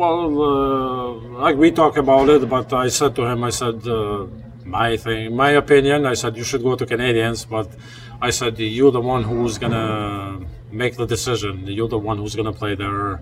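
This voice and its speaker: There is noticeable background noise as a man speaks with an Albanian accent. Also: medium pitch for a man, ordinary pitch variation, moderate pace. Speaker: steelworker and hockey parent. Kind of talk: interview.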